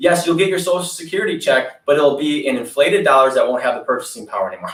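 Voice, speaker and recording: With an Upper Midwest accent, a man speaks very fast in a high pitch. His intonation is lively. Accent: Upper Midwest American. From Wisconsin. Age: 30s. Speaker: political candidate. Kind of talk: interview. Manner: animated.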